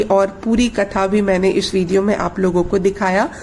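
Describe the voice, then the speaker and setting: A woman's voice with noticeable background noise. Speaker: vlogger. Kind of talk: casual vlog outro.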